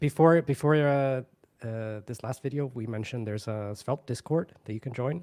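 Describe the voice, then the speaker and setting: A soft-spoken man with a dark, mellow tone and lively intonation at a moderate pace, dry and close with no echo, on a very clean recording with a silent background. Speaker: conference livestream host. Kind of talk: casual chat. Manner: halting. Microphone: audio too quiet.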